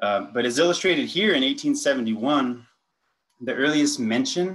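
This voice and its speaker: Lively intonation marks this man's speech. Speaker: conference presenter. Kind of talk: lecture. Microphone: video call.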